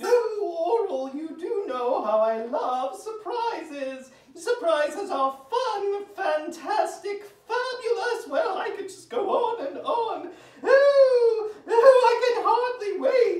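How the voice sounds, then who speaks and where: At a very slow pace, a cartoonish character voice speaks at an extremely high pitch, with a slight echo. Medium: puppet show. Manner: gushing, dramatic.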